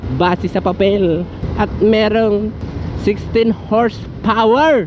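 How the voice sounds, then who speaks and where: A high-pitched man at a very slow pace, amid noticeable background noise. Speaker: motovlogger. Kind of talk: casual vlog talk while riding. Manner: animated.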